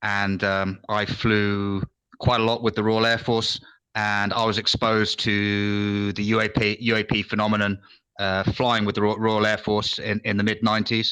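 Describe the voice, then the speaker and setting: Man with a British accent, fairly low in pitch yet bright and sharp in tone, monotone and flat, at a moderate pace and very even loudness, over a quiet background. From England. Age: old. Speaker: retired military intelligence officer. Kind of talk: casual chat. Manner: halting.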